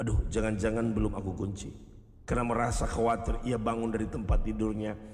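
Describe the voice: The clip is plain reading aloud. Text is read out without anything extra.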